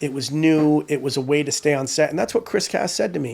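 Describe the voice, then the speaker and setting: A man with an American accent and an unremarkable speaking voice, fairly high in pitch, at a moderate pace, in a very clean recording with a silent background. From US Northeast, Rhode Island. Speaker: prop assistant and filmmaker. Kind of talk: casual interview chat.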